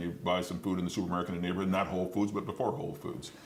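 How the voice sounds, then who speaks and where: The speech comes at a very fast pace with fairly even intonation. Room echo is audible. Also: man. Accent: American. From Detroit, Michigan. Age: 60s. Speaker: mayoral candidate. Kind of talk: interview.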